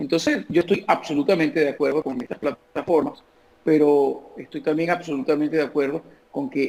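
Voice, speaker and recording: With vocal fry, a man talks at a fairly high pitch. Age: 50s. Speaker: comedian. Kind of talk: interview answer.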